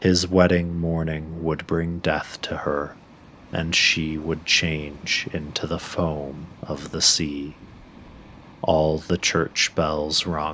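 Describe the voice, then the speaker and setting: Monotone and very slow, a man speaks with a very deep, low pitch, his tone both calm and soothing and bright and sharp, with flat intonation. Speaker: sleep story narrator. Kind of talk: sleep story reading. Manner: calm, soothing, slow.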